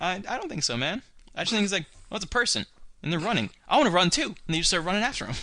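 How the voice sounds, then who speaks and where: With an American accent, a man speaks in a raised, projected voice at a very fast pace, his high pitch swinging very widely. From rural Ohio. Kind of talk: casual chat.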